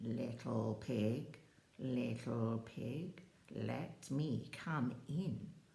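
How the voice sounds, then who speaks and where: A woman puts on a cartoonish character voice at a very deep, low pitch. She speaks at a very slow pace with audible echo. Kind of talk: children's story telling. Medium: puppet.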